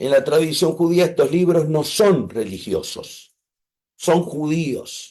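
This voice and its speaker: Very slowly, a man speaks in a dark, mellow tone with ordinary pitch variation. His voice is fairly high. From Argentina. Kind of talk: online class.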